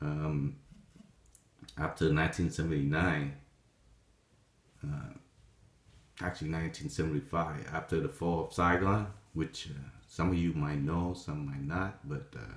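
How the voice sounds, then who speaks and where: With a Vietnamese accent and a very deep, low pitch, a man speaks at a fairly slow pace with ordinary pitch variation and long, frequent pauses. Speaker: vlogger telling life story. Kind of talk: personal testimony. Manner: halting, many fillers.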